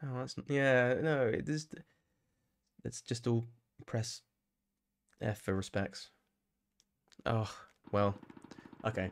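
With a British accent, a man talks at a very slow pace with long, frequent pauses and ordinary pitch variation. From UK. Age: 30s. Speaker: gaming streamer. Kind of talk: live gameplay commentary. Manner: animated. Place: home room. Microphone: studio mic.

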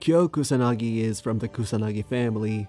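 A man with a medium pitch that varies in an ordinary way talks over background music. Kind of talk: fast-paced video game lore narration. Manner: fast.

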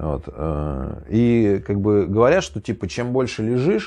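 This man has a fairly low pitch and a dark, mellow tone. His pitch swings very widely. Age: 30s. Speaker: YouTuber, former prisoner. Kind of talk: casual monologue storytelling. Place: home room.

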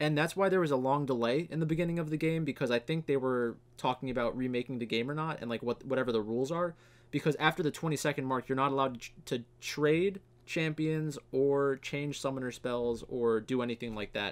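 The pitch moves with ordinary variation. The pace is fairly quick. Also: man. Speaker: esports fantasy streamer. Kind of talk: commentary.

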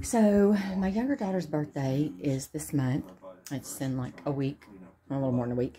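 A woman speaks at a moderate pace in a very deep, low pitch with a dark, mellow tone and very wide pitch swings. There is light background noise. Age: 40s. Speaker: vlogger with brain cancer; vlogger. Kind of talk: casual vlog. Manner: chatty, rambling with fillers. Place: home room. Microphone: phone near.

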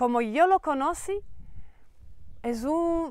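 Recorded in a dry sound with no echo against a quiet background, the speaker talks with a Slovak accent. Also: woman. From Slovakia. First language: Slovak (speaking Spanish). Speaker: network marketing entrepreneur; presenter. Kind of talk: sales pitch. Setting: training farm in Mallorca. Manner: halting. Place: garden.

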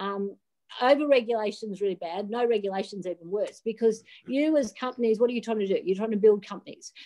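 A woman with an Australian accent talks at a very fast pace in a dark, mellow tone over a quiet background. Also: fairly high pitch for a woman, ordinary pitch variation. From Australia, rural New South Wales. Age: 50s. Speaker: digital asset regulation advisor, former derivatives trader; interview guest. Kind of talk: interview. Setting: video call from a hotel room. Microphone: video call.

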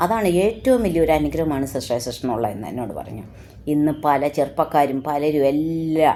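Lively intonation rides on this woman's very deep, low pitch. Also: big swings in loudness. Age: 60s. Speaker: lay preacher. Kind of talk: sermon. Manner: halting.

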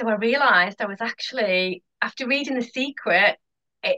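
Against a quiet background, a woman speaks at a moderate pace in a fairly high pitch, her tone bright and sharp and her intonation lively. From northeast England, Hartlepool; northeast England. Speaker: hypnotherapist; podcast guest. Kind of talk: casual interview chat. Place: home room. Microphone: headset.

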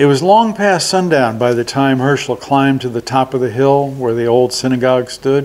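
The words are given as plain reading aloud.

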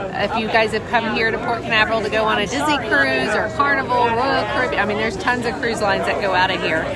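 Over crowd noise in a dry sound with no echo, a woman talks at a very fast pace with hardly any pauses. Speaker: vlogger. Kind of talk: casual vlog chat. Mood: excited, anticipating launch. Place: bar. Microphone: phone near.

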